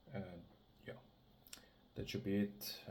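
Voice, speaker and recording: A man talks with a non-native accent in a fairly low pitch. His tone is dark and mellow. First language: not English. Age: 20s. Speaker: amateur bodybuilder vlogger. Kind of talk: casual vlog talk to camera. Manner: halting, many self-corrections.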